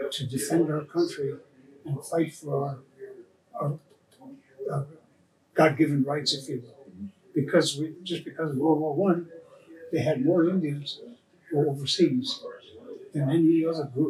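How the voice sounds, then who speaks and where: A man's somewhat breathy voice at a fairly high pitch moves at a moderate pace with fairly even intonation, big swings in loudness and long, frequent pauses. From Devils Lake Sioux Reservation, North Dakota. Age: 80s+. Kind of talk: interview answer.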